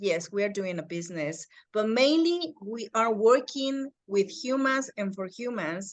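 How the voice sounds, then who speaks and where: In a slight Mexican accent, a woman speaks at a very slow pace. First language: Spanish. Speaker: real estate agent. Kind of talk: casual chat. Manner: halting.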